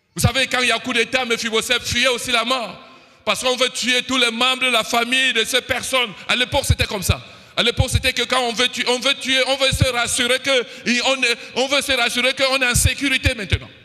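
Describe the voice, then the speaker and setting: Raising and projecting his voice, a man speaks at an extremely high pitch in a monotone, flat intonation. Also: fairly quick pace. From Cameroon. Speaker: preacher. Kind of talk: sermon.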